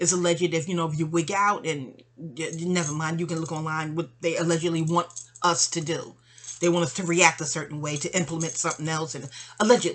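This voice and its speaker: At a very fast pace, a woman speaks with fairly low pitch and fairly even intonation. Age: 50s. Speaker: vlogger. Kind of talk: personal monologue. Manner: chatty; halting.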